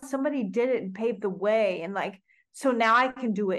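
With an American accent, a woman speaks using lively intonation. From Oklahoma. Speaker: singer-songwriter and filmmaker. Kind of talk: casual interview conversation.

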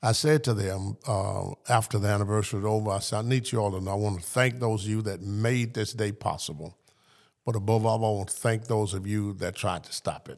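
A man speaks fairly quickly with a Southern US accent. His pitch is fairly low, and the recording is very clean with a silent background. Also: fairly even intonation. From US South. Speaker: pastor. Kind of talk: interview.

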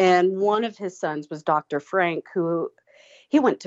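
A woman speaks at a fairly slow pace in a medium pitch. It is an ordinary speaking voice. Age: 30s. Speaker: paranormal tour company owner. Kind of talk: casual chat.

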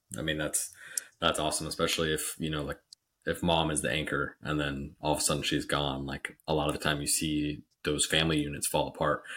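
Very deep and low, this man's voice has a bright, sharp tone. He talks at a fairly quick pace with monotone, flat intonation. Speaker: podcast host. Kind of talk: casual interview chat.

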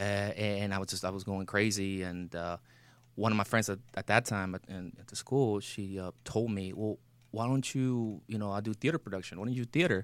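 Fairly low in pitch with ordinary variation, a man talks fairly quickly with a Spanish accent. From Mexico. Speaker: actor and military veteran. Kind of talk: casual interview chat; advice to callers.

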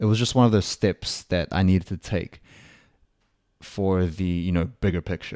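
The voice has a dark, mellow tone, fairly even intonation and a New Zealand accent. It moves at a moderate pace with long, frequent pauses, on a very clean recording with a silent background. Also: man, very deep, low pitch for a man. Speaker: podcast host. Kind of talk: casual monologue. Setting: home recording.

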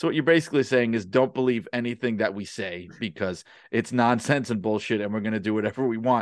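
Someone with a New York accent speaks at a very fast pace against a quiet background. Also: man, medium pitch for a man, ordinary pitch variation. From New York City (Brooklyn). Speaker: wrestling author and podcaster. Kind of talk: podcast interview.

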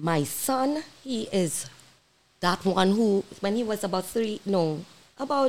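Very wide pitch swings run through this woman's speech. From Trinidad. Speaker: reggae singer. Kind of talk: interview. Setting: studio.

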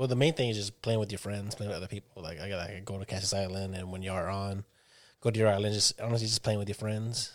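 In a very clean recording with a silent background, a man talks at a very fast pace, his fairly low pitch held to a fairly even intonation. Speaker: guest gamer. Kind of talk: casual chat.

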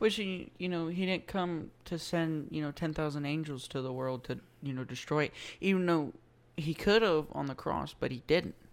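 With a Louisiana accent, a woman speaks in a very deep, low voice at a moderate pace. Her pitch varies in an ordinary way, and the recording is very clean with a silent background. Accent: Southern US (Louisiana). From US South. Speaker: podcast host. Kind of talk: casual chat. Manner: halting.

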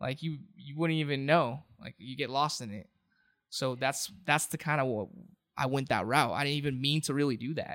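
Speaking at a moderate pace with an American accent, a man with a plain, everyday voice and fairly high pitch keeps his intonation fairly even on a very clean recording with a silent background. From Southern California, Orange County. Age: 20s. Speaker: rapper and singer. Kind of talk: casual chat. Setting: studio.

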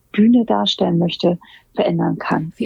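A woman speaks in a somewhat breathy voice. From Germany, Hamburg. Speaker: make-up artist and hairstylist. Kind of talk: interview. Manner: frequent hesitations (ähm, äh).

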